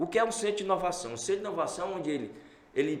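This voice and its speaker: The pitch varies in an ordinary way. Audible room echo and noticeable background noise fill the recording. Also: man. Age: 60s. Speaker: entrepreneur. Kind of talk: interview. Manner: animated.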